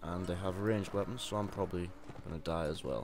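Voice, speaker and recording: A man races along at a very fast pace, with audible room echo around him. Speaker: gaming video creator. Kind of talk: let's play commentary. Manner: monotone.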